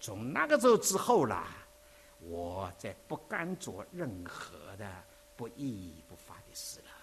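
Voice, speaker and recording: At a very slow pace, a man talks at a medium pitch. His pitch swings very widely. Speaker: visiting preacher. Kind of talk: sermon.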